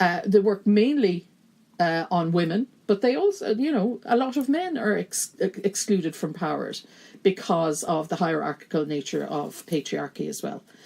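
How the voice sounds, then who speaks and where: A woman speaks in a Kerry accent with a dark, mellow tone at medium pitch. Her intonation is lively and her pace moderate. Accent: broad Kerry. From Ireland, County Kerry. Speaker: gender studies lecturer and feminist activist. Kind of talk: podcast interview conversation.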